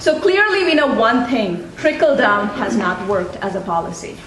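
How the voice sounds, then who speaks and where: A woman speaks at a fairly slow pace in a high voice, with noticeable background noise behind her. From India. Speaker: college provost and economist. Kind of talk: welcome speech. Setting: college symposium audience.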